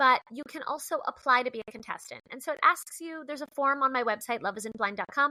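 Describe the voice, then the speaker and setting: A woman's raised, projected, high-pitched voice at a very fast pace, hardly any pauses, lively intonation, big swings in loudness and a dry, close sound with no echo. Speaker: comedian and dating show creator. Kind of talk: podcast interview. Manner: animated.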